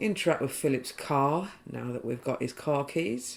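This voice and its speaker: Someone mumbles over music in the background. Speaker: video game trophy guide creator. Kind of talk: game walkthrough commentary. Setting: poorly set up new microphone. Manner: a bit mumbly.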